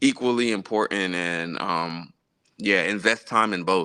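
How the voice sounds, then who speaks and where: Fairly low-pitched male voice with an American accent, a bright, sharp tone, and a fairly slow pace. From South Florida, Jamaican parents. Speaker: gospel pianist and teacher. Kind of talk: live-streamed interview. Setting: live stream while traveling. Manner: casual, relaxed.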